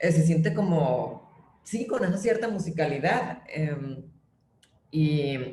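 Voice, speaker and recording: A woman talks very slowly with lively intonation. Room echo is audible around her voice. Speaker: playwright. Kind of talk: interview conversation.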